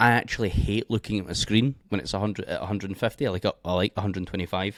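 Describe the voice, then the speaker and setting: A quiet man with a Scottish accent at a fairly low pitch, very fast, with ordinary pitch variation, on a very clean recording with a silent background and a dry, close sound with no echo. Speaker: forex trading educator. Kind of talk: tutorial. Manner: quiet, keeping voice down. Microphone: mic held close.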